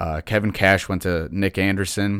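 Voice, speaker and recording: A man uses a normal speaking voice at a fairly low pitch and moderate pace in a very clean recording with a silent background. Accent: American. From Detroit, Michigan. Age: 20s. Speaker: sports podcast host. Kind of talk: solo sports commentary podcast.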